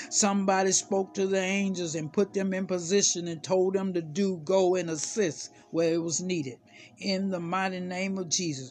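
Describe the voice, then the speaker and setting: A high-pitched man with fairly even intonation, music in the background. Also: moderate pace. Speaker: prayer minister. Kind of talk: fervent prayer, impassioned sermon-like intercession. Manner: commanding, declaring, urgent; rising, preacherly cadence.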